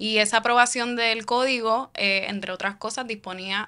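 A woman speaks in a bright, sharp tone with monotone, flat intonation. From Puerto Rico, Caguas; Puerto Rico. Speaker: founder of independent digital media project; podcast guest, civic organization spokesperson. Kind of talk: interview conversation. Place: studio. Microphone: studio mic.

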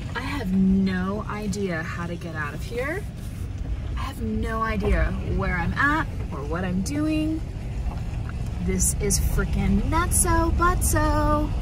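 Amid noticeable background noise, a woman speaks very slowly with long, frequent pauses, in a dry sound with no echo. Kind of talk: casual vlog chat. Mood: flustered, amused disbelief. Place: car. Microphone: phone near.

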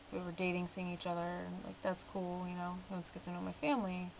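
Light background noise runs under the voice. A woman speaks with a fairly low pitch. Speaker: vlogger. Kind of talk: casual vlog chat. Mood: mildly annoyed, reflective. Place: home room. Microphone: webcam.

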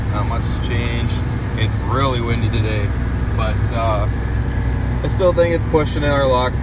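The sound is dry with no echo, but loud background noise comes through. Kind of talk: casual vlog chat. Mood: relaxed, content. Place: farm machine. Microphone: phone near.

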